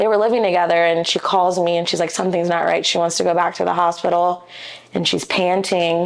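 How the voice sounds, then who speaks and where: A woman with a Midwestern American accent and a fairly low pitch. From Ohio, US (Dayton area, Beavercreek). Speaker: commercial real estate agent. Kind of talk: podcast interview, personal storytelling.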